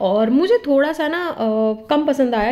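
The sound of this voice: A woman speaks with lively intonation in a slightly mellow tone.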